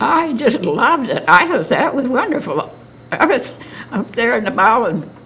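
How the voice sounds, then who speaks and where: A woman with an American accent speaks with very wide pitch swings. Noticeable background noise and audible room echo are present. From northern Michigan (Charlevoix). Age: 90s. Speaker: oral history interviewee. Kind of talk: oral history interview. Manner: halting.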